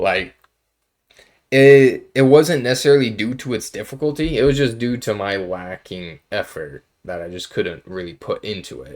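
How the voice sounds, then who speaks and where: A man speaks at a fairly slow pace. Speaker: college student. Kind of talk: casual talk to camera. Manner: monotone.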